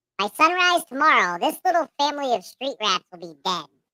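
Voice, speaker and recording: A put-on character voice, high in pitch, with very wide pitch swings and a fairly quick pace. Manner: evil, menacing.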